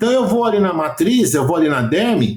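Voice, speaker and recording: With a Brazilian accent, a man with a high pitch speaks at a moderate pace using lively intonation. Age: 60s. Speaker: aesthetics professional and educator. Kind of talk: podcast interview. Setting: remote call.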